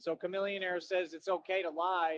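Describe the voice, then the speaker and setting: Fairly quick, monotone, flat speech with an American accent. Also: man. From Texas, Austin. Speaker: livestreamer. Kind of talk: casual rant.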